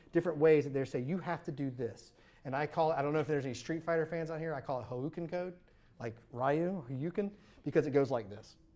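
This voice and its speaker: A man's very fast speech in a dark, mellow tone and fairly high pitch, on a very clean recording with a silent background. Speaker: software engineer leading a workshop. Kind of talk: workshop tutorial. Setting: live workshop with audience. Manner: animated.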